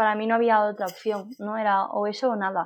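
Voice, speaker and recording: With an ordinary speaking voice, a woman talks fairly slowly with fairly even intonation. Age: 20s. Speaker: paralympic athlete and speaker. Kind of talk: interview.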